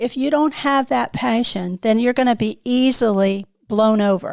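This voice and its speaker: A woman has an unremarkable speaking voice, fairly high in pitch with ordinary pitch variation. She keeps a moderate pace and very even loudness. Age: 60s. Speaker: business owner. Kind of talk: casual chat.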